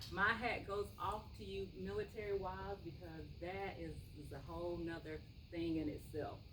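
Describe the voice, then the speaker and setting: A woman speaks at a moderate pace in a Southern US accent. Noticeable background noise and audible room echo fill the recording. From US South, Columbia, South Carolina. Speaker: pharmacist. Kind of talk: health talk to seniors. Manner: soft-spoken; casual with many fillers.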